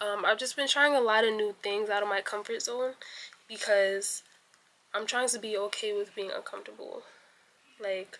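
A fairly bright tone carries fairly even intonation at a fairly slow pace. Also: woman.

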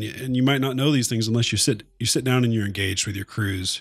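A man with a plain, everyday voice and an American accent talks at a fairly quick pace in a medium pitch. His intonation stays fairly even on a very clean recording with a silent background. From Oklahoma. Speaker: podcast co-host and military firefighter. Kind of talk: casual chat.

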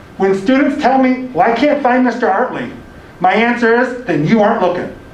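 A man's voice, extremely high in pitch, carries ordinary pitch variation at a moderate pace. Audible room echo is present. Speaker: college admissions director. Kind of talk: orientation presentation. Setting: room with audience, also streamed on camera. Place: classroom. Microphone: camera far.

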